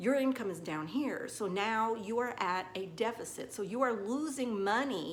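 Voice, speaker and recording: In a Southern US accent, a woman talks at a fairly slow pace with a medium pitch and ordinary pitch variation, and audible room echo surrounds her. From US South. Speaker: nail technician. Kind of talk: tutorial. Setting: salon. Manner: casual, chatty.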